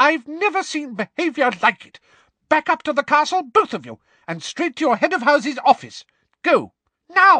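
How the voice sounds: Using a put-on character voice, a man speaks at an extremely high pitch in a bright, sharp tone with big pitch swings. His moderate pace comes through as dry, close sound with no echo.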